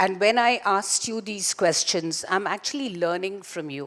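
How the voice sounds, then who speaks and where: At a moderate pace, a woman speaks with lively intonation on a very clean recording with a silent background. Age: 60s. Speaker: entrepreneur and startup founder. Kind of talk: keynote talk to live audience. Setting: stage with audience.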